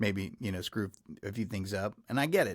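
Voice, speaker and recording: A man speaks with a fairly low pitch and ordinary pitch variation, in a Texas accent. The recording is very clean, with a silent background. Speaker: podcast host. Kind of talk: interview podcast. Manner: hesitant, many fillers.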